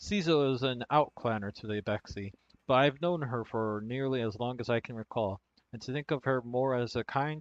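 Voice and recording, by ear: With a quiet background, a person reads aloud in a natural voice, pitch varying in an ordinary way.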